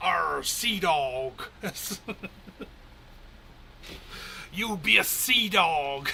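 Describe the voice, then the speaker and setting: Over clear background noise, a put-on character voice at a middle pitch speaks at a very slow pace with long, frequent pauses. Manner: growly, salty.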